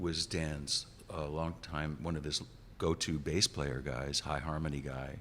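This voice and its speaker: The voice carries vocal fry and ordinary pitch variation. Delivery is at a fairly slow pace. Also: man. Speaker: rock bassist and singer. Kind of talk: interview. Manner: halting, many restarts.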